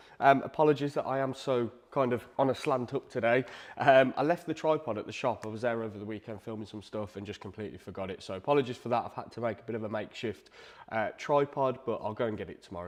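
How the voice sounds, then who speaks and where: A man with an English accent talks at a very fast pace with lively intonation against a quiet background. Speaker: live draw host, guitar shop owner. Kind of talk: livestream commentary. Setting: livestream on camera. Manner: less energetic than usual.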